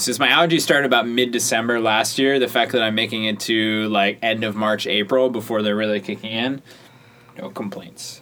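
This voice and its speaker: Through noticeable background noise, a man of medium pitch speaks at a fairly quick pace, with ordinary pitch variation. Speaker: podcast co-host. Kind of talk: casual banter chat.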